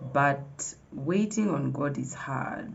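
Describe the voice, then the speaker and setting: Audible room echo and noticeable background noise surround a woman speaking in a very deep, low pitch. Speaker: vlogger. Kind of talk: casual vlog talk to camera. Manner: animated.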